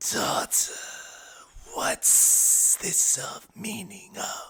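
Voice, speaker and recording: A man whispers in a raspy, put-on character voice. His pace is very slow. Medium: actual play. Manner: cold, commanding.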